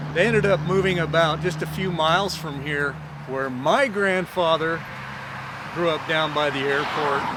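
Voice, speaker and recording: Amid noticeable background noise and audible room echo, a man talks at a moderate pace. His fairly high voice has a western US accent and ordinary pitch variation. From Utah, Provo. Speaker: storyteller. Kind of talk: casual storytelling to camera. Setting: outdoors. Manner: casual, with filler words.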